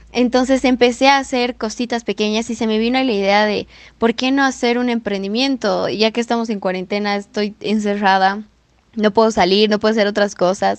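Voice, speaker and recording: Speaking at a moderate pace, a woman has an unremarkable speaking voice, fairly high in pitch with fairly even intonation. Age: 20s. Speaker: student entrepreneur. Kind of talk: podcast interview.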